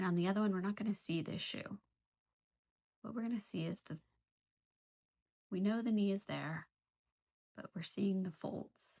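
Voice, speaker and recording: Somewhat breathy and at a medium pitch, a woman speaks with fairly even intonation in a dry, close sound with no echo. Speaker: art teacher leading a drawing session. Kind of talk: tutorial. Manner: casual, thinking aloud; whispering at moments.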